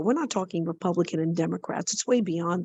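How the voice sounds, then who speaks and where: A woman with an American accent and medium pitch speaks at a fairly quick pace with ordinary pitch variation. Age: 60s. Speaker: salesperson, session attendee. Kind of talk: casual chat. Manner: halting.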